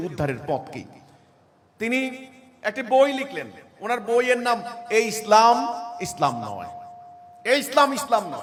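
Against noticeable background noise, a man with a high pitch talks in an animated tone with lively intonation. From Bangladesh. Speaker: imam, religious movement leader. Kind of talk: religious speech to a seated audience. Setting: gathering with live audience.

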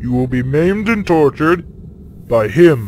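A man uses a put-on character voice at a fairly high pitch and moderate pace, with clear background noise behind him. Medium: machinima. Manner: pompous, menacing.

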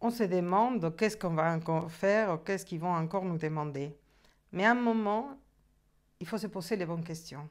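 Delivered at a fairly quick pace with long, frequent pauses, the voice shows ordinary pitch variation over a quiet background. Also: woman, fairly low pitch for a woman. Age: 50s. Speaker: coaching client giving a testimonial. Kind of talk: testimony. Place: home room.

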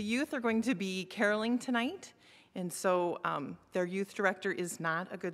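Moderate pacing and ordinary pitch variation from a woman. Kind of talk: church announcements. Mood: light, self-deprecating. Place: church. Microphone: podium.

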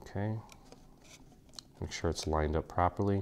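Very deep and low in pitch, a man talks at a moderate pace with fairly even intonation. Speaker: craft tutor. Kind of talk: tutorial.

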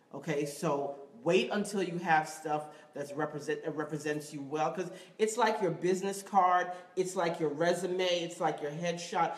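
A woman in an American accent, animated in tone, at a moderate pace amid audible room echo. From New York, West Indian heritage. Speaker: acting show host. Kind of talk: live web show presenting. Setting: studio, live-streamed. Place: studio. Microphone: phone near.

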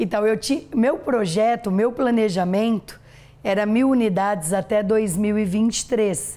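Very slow and at a very even loudness, a woman talks in a fairly high pitch with a dark, mellow tone. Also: ordinary pitch variation. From interior of São Paulo state, Brazil. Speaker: dentist and franchise entrepreneur; interview guest. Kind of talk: TV interview, life story. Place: studio.

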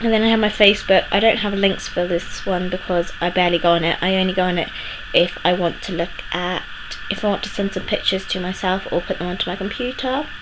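There is noticeable background noise as a woman talks very fast with fairly even intonation. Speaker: vlogger. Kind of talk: casual vlog chat. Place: home room. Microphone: phone near.

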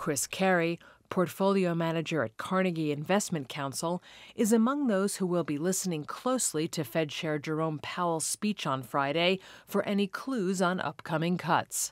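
On a very clean recording with a silent background and a dry, close sound with no echo, a woman with a normal speaking voice, fairly low in pitch, talks at a moderate pace with lively intonation. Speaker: news reader. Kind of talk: scripted newsreading of market report. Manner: formal, brisk, even-toned.

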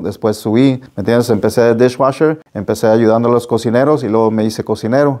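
Over a quiet background, a man with a medium pitch and a dark, mellow tone talks at a fairly quick pace with fairly even intonation. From Las Vegas, Nevada (born in Nayarit, Mexico); Nevada. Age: 50s. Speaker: real estate business owner; interview guest. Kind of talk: interview. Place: studio. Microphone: lapel.

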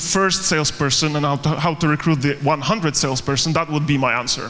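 A man speaks with a Polish accent. His pace is fairly quick. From Poland. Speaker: startup co-founder and recruiter. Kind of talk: conference talk. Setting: stage with audience. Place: hall.

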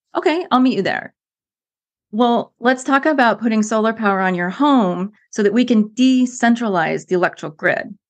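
With an American accent and an unremarkable speaking voice, a woman talks at a fairly high pitch and a moderate pace. Her intonation is lively, and the background is quiet. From United States. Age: middle-aged. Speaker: former environmental planner, climate speaker. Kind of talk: casual interview conversation.

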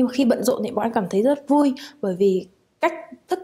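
A woman's dark, mellow tone with ordinary pitch variation against a quiet background. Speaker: international student. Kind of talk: student testimonial. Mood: calm, positive. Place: hall.

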